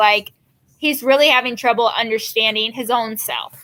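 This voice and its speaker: A woman speaks in a raised, projected voice. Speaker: school teacher. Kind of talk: classroom lesson recorded for students, then reading aloud. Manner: casual, with many fillers.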